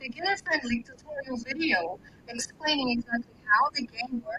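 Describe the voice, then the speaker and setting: Her tone is bright and sharp, her pitch fairly high. The woman keeps a moderate pace with ordinary pitch variation. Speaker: voiceover artist for a game project. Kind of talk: live audio space chat.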